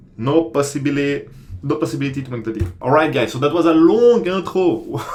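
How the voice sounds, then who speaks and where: A man with a fairly high pitch talks at a fairly quick pace with lively intonation. Audible room echo is present. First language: not English. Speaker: commodity trader and online course creator. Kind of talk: tutorial. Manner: casual, hesitant with many fillers.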